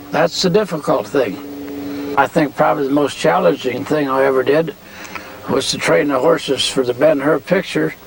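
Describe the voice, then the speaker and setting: Ordinary pitch variation at a moderate pace, with noticeable background noise. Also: man, fairly high pitch for a man. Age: 80s+. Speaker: horse trainer. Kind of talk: interview testimony. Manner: halting, many fillers.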